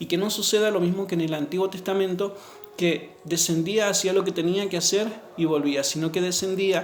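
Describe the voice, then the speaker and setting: Amid noticeable background noise and audible room echo, a man with a high pitch talks at a fairly quick pace with fairly even intonation. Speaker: pastor. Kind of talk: sermon.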